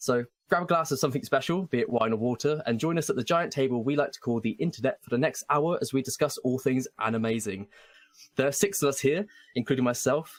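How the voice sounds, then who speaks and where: A man with an English accent talks at a very fast pace, his fairly high voice full of lively intonation, recorded with a dry, close sound and no echo. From England. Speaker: podcast host, performing arts student. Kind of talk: scripted podcast introduction. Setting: online call with remote co-hosts.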